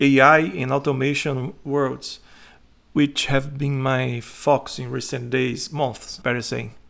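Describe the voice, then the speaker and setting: A man with a Brazilian Portuguese accent and a fairly high pitch speaks at a fairly slow pace in a very clean recording with a silent background. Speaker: content writer. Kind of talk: self-promotional presentation.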